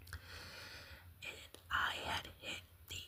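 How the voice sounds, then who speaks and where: A woman is whispering, with noticeable noise in the background. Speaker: ASMR content creator. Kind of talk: casual talk to camera, ASMR ramble.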